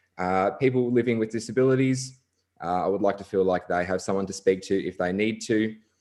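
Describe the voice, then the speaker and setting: A man with an Australian accent speaks at medium pitch. His pace is moderate and his intonation fairly even. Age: 20s. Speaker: council election candidate. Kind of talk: candidate speech at online forum.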